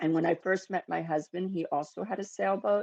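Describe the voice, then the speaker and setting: A woman with an American accent speaks at a moderate pace with ordinary pitch variation over a quiet background. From US Northeast, New York City. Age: 60s. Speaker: sailing instructor. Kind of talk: interview monologue. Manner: hesitant fillers.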